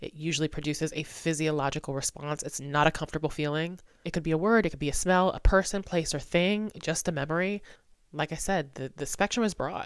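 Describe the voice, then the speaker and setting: A woman's very deep, low voice at a very fast pace. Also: ordinary pitch variation. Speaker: mindset transformation coach. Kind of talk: solo podcast monologue. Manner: casual, conversational.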